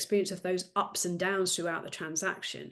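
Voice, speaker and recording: A woman with a British accent, talking at a very fast pace. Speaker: business development coach, former solicitor. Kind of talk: podcast interview. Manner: fast talker.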